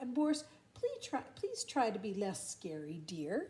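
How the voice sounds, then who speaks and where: A put-on character voice at a moderate pace. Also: woman, fairly high pitch for a woman. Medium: read story.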